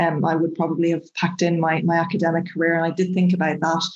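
Talking very fast with a Dublin accent, a woman keeps a monotone, flat intonation. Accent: Irish (Dublin). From Dublin, Ireland. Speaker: chemistry professor. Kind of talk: interview.

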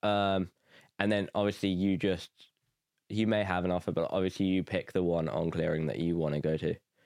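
Someone with an English Midlands accent speaks at a moderate pace with ordinary pitch variation. The very clean recording has a silent background and a dry, close sound with no echo. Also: man. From England, Nuneaton (English Midlands). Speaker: university student. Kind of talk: casual interview chat.

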